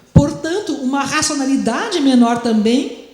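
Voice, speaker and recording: A woman with a high pitch is heard amid noticeable background noise and audible room echo. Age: 60s. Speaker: history professor. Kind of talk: lecture.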